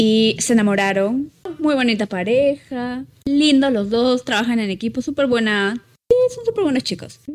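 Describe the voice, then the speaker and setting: A woman talks at a moderate pace. Her voice is high, with ordinary pitch variation. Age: 20s. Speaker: podcast co-host. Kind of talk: casual chat. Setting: living room at home.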